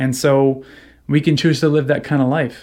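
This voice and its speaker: Fairly high in pitch, a man uses an ordinary speaking voice at a fairly quick pace. The recording is very clean with a silent background. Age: 30s. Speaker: video creator. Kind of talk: casual monologue.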